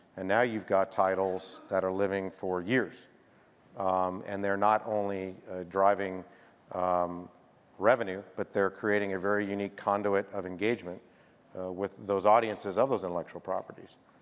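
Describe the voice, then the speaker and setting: Fairly low male pitch, monotone and flat, at a moderate pace. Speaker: media company games executive; panelist. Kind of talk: conference panel discussion. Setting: stage with audience. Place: stage. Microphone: lapel.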